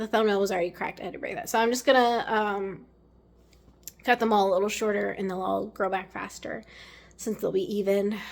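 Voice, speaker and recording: At a fairly quick pace, a woman speaks in a normal speaking voice at a medium pitch with fairly even intonation. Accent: American. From Maryland, US. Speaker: lifestyle vlogger. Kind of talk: casual vlog talk to camera. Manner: casual, meandering with many fillers.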